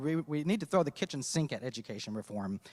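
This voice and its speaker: Here a man talks at a fairly quick pace in a normal speaking voice, pitched fairly high. The sound is dry and close with no echo, on a very clean recording with a silent background. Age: 30s. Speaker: businessman, congressional candidate. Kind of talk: candidate forum speech. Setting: public forum with audience.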